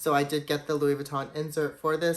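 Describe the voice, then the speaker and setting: This man's voice sits fairly high. He delivers his words at a fairly quick clip. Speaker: luxury goods YouTuber. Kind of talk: product showcase vlog. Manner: fast; casual, enthusiastic.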